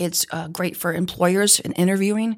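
In an ordinary speaking voice, a woman talks at a fairly slow pace and medium pitch on a very clean recording with a silent background. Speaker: teacher, Skills club advisor. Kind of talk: casual interview chat. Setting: studio.

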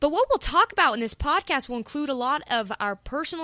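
The tone is bright and sharp. It belongs to a woman with an American accent. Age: 20s. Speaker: podcast co-host, music student. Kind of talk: casual chat.

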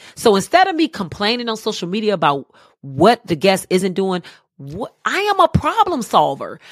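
In a very clean recording with a silent background, a woman with an American accent talks in an animated tone at a moderate pace, her medium pitch swinging very widely, the sound dry and close with no echo. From Ohio. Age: 50s. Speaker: barber and salon owner. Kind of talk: interview.

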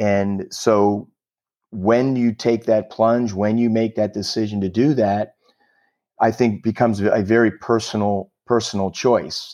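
Against a quiet background, a voice with an American accent and a dark, mellow tone speaks at a fairly slow pace with fairly even intonation. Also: man, fairly low pitch for a man. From New Jersey. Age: 50s. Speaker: franchise consultant. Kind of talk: interview.

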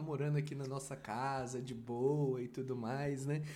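Audible room echo around a man speaking with fairly even intonation. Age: 40s. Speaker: father and podcast host. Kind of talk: casual chat.

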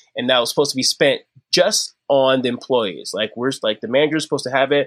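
This man has an American accent and a medium pitch. He talks at a very fast pace. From Arizona. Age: 20s. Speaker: musician. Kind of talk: casual chat. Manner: halting.

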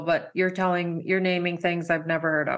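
A woman speaks in a fairly low voice with monotone, flat intonation. The background is quiet. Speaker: podcast host. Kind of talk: casual interview conversation.

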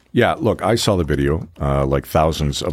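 Noticeable background noise sits behind a man whose very deep, low voice moves at a moderate pace. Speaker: podcast host. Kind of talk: casual chat. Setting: studio.

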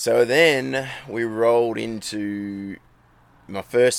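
There is ordinary pitch variation in this man's speech. He talks with an Australian accent. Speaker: rally motorcycle racer. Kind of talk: casual chat. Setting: in a van.

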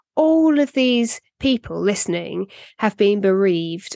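A woman's medium-pitched voice with a British accent and very wide pitch swings, dry and close with no echo. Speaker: podcast co-host. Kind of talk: casual Bible discussion.

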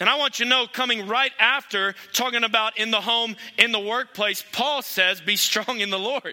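Against noticeable background noise, a man with an extremely high pitch speaks in a raised, projected voice at a moderate pace, using fairly even intonation and hardly any pauses. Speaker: guest preacher. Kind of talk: sermon. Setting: church.

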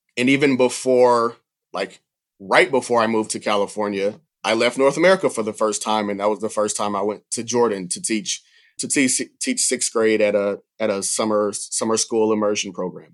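Against a quiet background, a man with a Southern US accent speaks at a medium pitch. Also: ordinary pitch variation, moderate pace. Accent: Southern US (Georgia). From US South, Georgia. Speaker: refugee resettlement worker. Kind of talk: casual interview.

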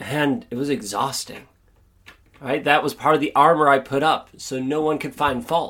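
With a fairly high pitch and a bright, sharp tone, a man speaks at a fairly slow pace. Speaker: podcast host. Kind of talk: motivational monologue. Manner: mumbles at times.

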